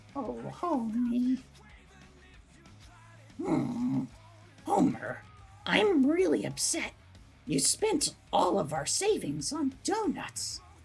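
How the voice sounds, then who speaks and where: A put-on character voice at a fairly high pitch moves at a very slow pace with long, frequent pauses over faint background music. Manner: upset, complaining.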